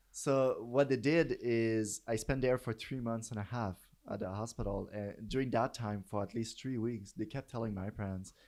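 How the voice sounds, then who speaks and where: The speaker has a Quebec accent and fairly even intonation at a moderate pace. There are hardly any pauses, and the recording is very clean with a silent background. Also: man, medium pitch for a man. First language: French. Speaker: professor. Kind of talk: interview. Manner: halting.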